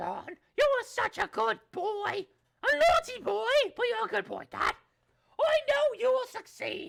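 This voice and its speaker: In a put-on character voice, a female-sounding speaker talks at a fairly slow pace with an extremely high pitch. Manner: warm, affectionate.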